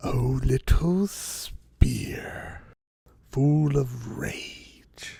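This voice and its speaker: A man whispers. He uses a put-on character voice. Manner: whispering.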